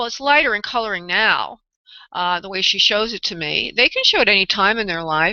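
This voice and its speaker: In a New York accent, a woman talks at a fairly high pitch. Her intonation is lively. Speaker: psychic medium radio host. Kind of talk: live radio psychic readings. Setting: live radio show with callers. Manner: halting.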